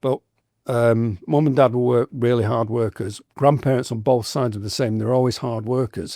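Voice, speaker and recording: Speaking with an English accent, the man has a dark, mellow tone at a medium pitch and ordinary pitch variation. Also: dry, close sound with no echo, very clean recording, silent background. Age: 60s. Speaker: tattoo artist. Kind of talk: podcast interview.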